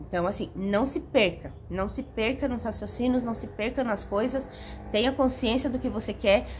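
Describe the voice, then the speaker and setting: A woman talks in an animated tone at a fairly high pitch, with vocal fry. Her pace is moderate and her pitch variation ordinary. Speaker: self-help video creator. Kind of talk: motivational talk to camera.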